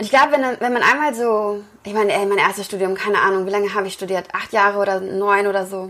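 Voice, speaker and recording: Speaking very fast with hardly any pauses, a woman uses a medium pitch and ordinary pitch variation. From Lower Rhine, Germany (Wesel). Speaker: yoga teacher and author. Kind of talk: interview.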